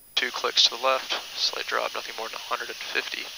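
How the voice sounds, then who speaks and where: The man speaks at a fairly quick pace. Noticeable background noise sits under a dry sound with no echo. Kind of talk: checklist read-out. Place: plane. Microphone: headset.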